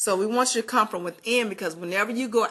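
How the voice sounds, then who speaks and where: A woman speaks with a Southern US accent and ordinary pitch variation. Her tone is bright and sharp against a quiet background. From US South, Albany, Georgia. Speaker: vlogger. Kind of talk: motivational talk to camera.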